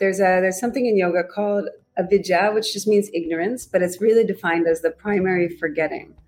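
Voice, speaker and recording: A woman speaks in a plain, everyday voice, at medium pitch with ordinary pitch variation. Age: 40s. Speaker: yoga teacher. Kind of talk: casual chat.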